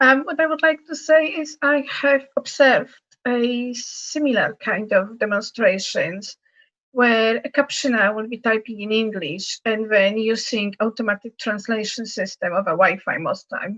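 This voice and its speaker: With a Polish accent, a woman speaks fairly slowly at a fairly high pitch with lively intonation. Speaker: accessibility advocate panelist. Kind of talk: panel discussion.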